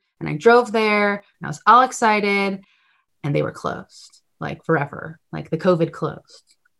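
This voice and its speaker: A woman with an American accent has an unremarkable speaking voice at a medium pitch. She talks at a moderate pace with ordinary pitch variation. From US Northeast, Connecticut. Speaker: nonprofit founder and film assistant director. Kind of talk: interview.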